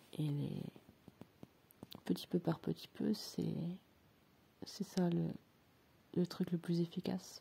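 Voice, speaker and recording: Speaking at a very slow pace in a calm tone, a woman leaves long, frequent pauses. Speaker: personal development coach. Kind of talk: reflective monologue. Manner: slow and calm; hesitant, many filler sounds.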